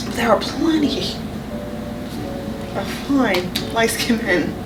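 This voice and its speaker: Amid noticeable background noise and audible room echo, a woman talks with lively intonation. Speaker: podcast co-host. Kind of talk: casual chat.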